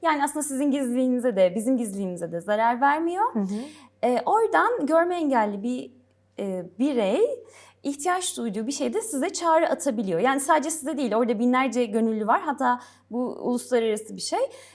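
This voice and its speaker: A high-pitched woman's voice with very wide pitch swings, in a very clean recording with a silent background. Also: fairly quick pace. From Gaziantep, southeastern Turkey. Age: 30s. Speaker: English teacher. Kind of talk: interview.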